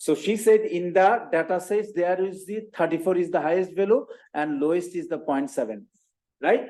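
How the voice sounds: A man speaks at a moderate pace and a high pitch. His tone is slightly mellow, with ordinary pitch variation.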